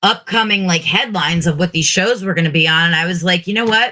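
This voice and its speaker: Loud and lively in intonation, a woman speaks at a medium pitch with a bright, sharp tone. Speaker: podcast co-host and drag persona. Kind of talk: casual chat.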